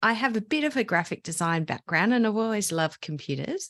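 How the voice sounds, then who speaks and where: A woman's fairly high voice with an Australian accent and ordinary pitch variation, dry and close with no echo, against a quiet background. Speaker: digital scrapbooking teacher. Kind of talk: podcast interview.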